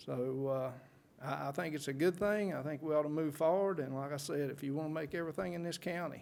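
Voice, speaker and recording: Very fast speech with a North Carolina accent and fairly even intonation carries audible room echo. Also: man. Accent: Southern US (North Carolina). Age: 60s. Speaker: public commenter. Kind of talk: public comment at council meeting. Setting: county board meeting.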